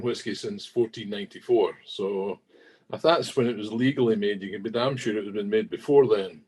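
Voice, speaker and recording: With a Scottish accent, a man talks at a moderate pace using lively intonation. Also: big swings in loudness. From southwest Scotland. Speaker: whisky industry manager. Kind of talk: podcast interview.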